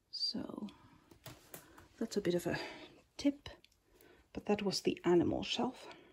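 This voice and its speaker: A woman speaks at a fairly high pitch with very wide pitch swings and a somewhat breathy voice. Her pace is fairly slow, with long, frequent pauses. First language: Finnish. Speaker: figurine collector. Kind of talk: casual talk to camera. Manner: hesitant, many filler sounds.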